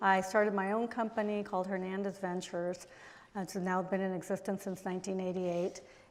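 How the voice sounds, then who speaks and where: Talking at a fairly quick pace, a woman with a Spanish accent keeps a medium pitch and a monotone, flat intonation. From Mexico. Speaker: diplomat and businesswoman. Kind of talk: panel talk. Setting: stage with audience.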